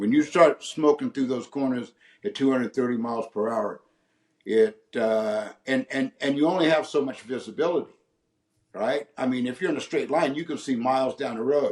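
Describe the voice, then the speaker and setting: A man with an ordinary speaking voice speaks at medium pitch and a moderate pace, his pitch varying in an ordinary way. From San Francisco Bay Area, California. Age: 60s. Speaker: retired race car driver. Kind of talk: interview answer.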